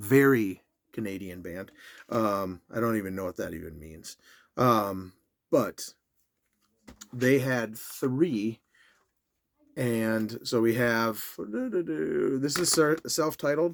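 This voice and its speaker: Lively intonation marks this man's medium-pitched voice. He talks at a very slow pace with long, frequent pauses. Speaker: music collector YouTuber. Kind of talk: casual video talk. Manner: halting with fillers.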